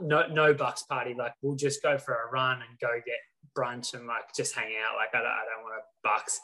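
Speaking at a moderate pace with an Australian accent, a man uses medium pitch and fairly even intonation, with big swings in loudness. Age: 20s. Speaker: professional triathlete. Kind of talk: casual chat.

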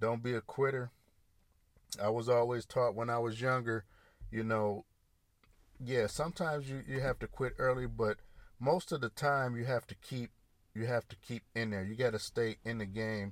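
With an American accent, a man talks at a moderate pace and medium pitch, with fairly even intonation and long, frequent pauses. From US Midwest, Grand Rapids, Michigan. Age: 40s. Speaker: podcast host. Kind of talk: solo monologue. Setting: in a parked car. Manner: casual, halting with fillers.

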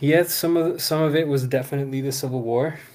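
A medium-pitched man with an American accent, with audible room echo. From US, Houston Texas and Maryland (PG County), Salvadoran parents. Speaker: actor and fatherhood program worker. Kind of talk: casual interview chat.

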